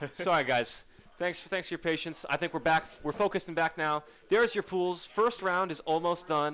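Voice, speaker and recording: Loud and bright with a sharp tone, a man talks at a moderate pace in a high pitch with ordinary pitch variation. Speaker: esports commentator. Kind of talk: live commentary. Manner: animated.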